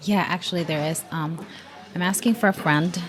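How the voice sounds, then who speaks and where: A woman with a non-native accent speaks at a fairly low pitch. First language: not English. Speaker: tech tutorial creator. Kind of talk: role-play test call. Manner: halting.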